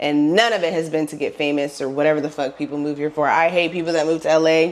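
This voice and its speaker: The delivery races along at a very fast pace with an animated tone. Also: woman, very deep, low pitch for a woman. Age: 30s. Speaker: lifestyle vlogger. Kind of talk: casual advice monologue. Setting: at home.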